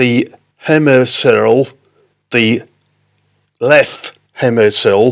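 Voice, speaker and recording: A man speaking at a very slow pace, with long, frequent pauses. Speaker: stroke survivor with aphasia. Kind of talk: casual chat. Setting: studio. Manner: halting.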